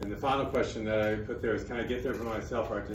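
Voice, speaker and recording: With an American accent, a man talks in a fairly low voice with ordinary pitch variation, and audible room echo surrounds him. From Texas. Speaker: missionary speaker. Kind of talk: talk to an audience. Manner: fast.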